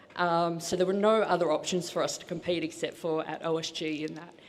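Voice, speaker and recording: With an Australian accent, a woman speaks in a fairly low pitch, and audible room echo surrounds her voice. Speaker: strongwoman athlete. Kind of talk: press conference interview. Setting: stage with audience. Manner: animated.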